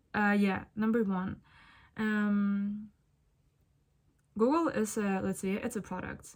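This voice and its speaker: On a very clean recording with a silent background, a woman with a Ukrainian accent speaks at medium pitch. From Ukraine. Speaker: spiritual content creator. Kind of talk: casual monologue vlog. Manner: casual, thinking aloud with fillers.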